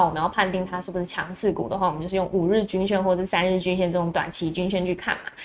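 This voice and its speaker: A woman with a Taiwanese accent talks at a very fast pace. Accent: Taiwanese Mandarin. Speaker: stock market livestream host. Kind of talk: morning market commentary livestream. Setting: live stream on video platforms.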